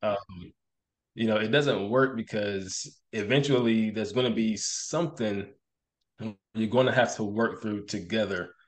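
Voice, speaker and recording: Against a quiet background, a man with a normal speaking voice talks fairly slowly at a medium pitch, his pitch varying in an ordinary way. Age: 30s. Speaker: police officer. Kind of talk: casual chat.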